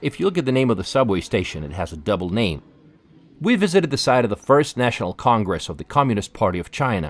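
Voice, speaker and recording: A man with a medium pitch talks at a very fast pace, his voice showing vocal fry and very wide pitch swings. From Russia. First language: Russian. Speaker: travel vlogger. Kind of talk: scripted narration.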